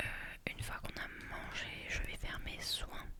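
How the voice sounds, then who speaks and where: The woman's words come out as a whisper, fairly slowly. Behind her, background noise is noticeable. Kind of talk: casual talk to camera. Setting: home recording with microphone. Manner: whispered, slow, soft-spoken.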